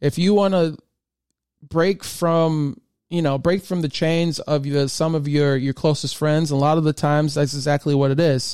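An ordinary speaking voice with an American accent, moderate pace, fairly even intonation and very even loudness. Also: man, fairly high pitch for a man. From US Midwest, Michigan. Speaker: podcast host. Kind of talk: solo podcast monologue. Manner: casual, with frequent fillers.

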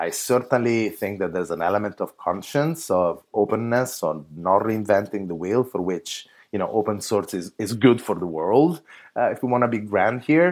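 A man with an Italian accent speaks at a fairly low pitch with lively intonation, on a very clean recording with a silent background. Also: moderate pace. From Italy. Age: 30s. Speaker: open source foundation leader. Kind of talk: interview conversation.

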